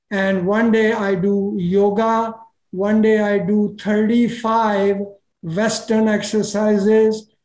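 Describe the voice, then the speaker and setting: In a room with audible echo, a man speaks very slowly in a high, monotone, flat voice at very even loudness. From India. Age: 80s+. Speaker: retired cardiologist. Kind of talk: podcast interview.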